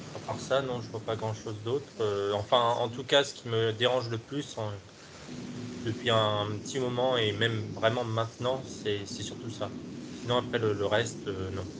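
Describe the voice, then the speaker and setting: Audible room echo surrounds a man speaking at a medium pitch. He talks at a fairly slow pace with fairly even intonation. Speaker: hypnosis client. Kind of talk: interview. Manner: halting.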